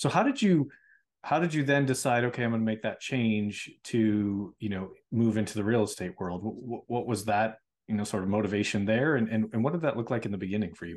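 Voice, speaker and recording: An ordinary speaking voice from a man, medium in pitch and at a fairly quick pace, over a quiet background. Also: ordinary pitch variation. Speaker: podcast host. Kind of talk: interview.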